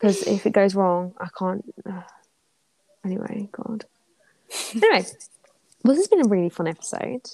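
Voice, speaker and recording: In a dry, close recording with no echo, a woman with a dark, mellow tone and medium pitch speaks at a moderate pace. Her pitch varies in an ordinary way, her loudness swings widely, and she takes long, frequent pauses. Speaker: podcast co-host. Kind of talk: casual chat. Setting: recorded late at night.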